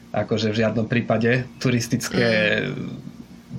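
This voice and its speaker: Background noise is clearly noticeable. Through it, a man is talking. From Slovakia, Košice. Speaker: expat living in Japan. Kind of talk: interview. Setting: remote call.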